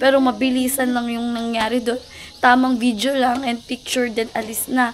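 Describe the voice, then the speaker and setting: The delivery is monotone and flat at a moderate pace, with noticeable background noise. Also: woman, high pitch for a woman. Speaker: vlogger. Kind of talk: casual vlog talk.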